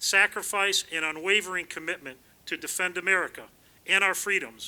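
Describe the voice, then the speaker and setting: Loud and high-pitched, a man speaks at a moderate pace with fairly even intonation. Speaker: town council chairman. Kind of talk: ceremonial speech. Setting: outdoor community event.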